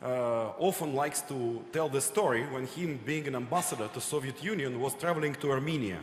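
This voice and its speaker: Speaking at a fairly quick pace with hardly any pauses, a man with a Russian accent has a fairly high pitch and ordinary pitch variation. Noticeable background noise and audible room echo are present. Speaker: audience questioner. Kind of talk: audience question at panel. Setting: conference hall with audience.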